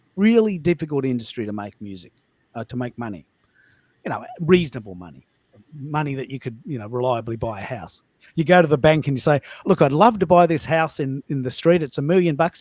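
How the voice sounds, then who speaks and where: A fairly high-pitched man with an Australian accent, animated and fairly quick, with very wide pitch swings, big swings in loudness and a dry, close sound with no echo. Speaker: live audio show host. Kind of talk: live audio room chat. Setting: live online audio call.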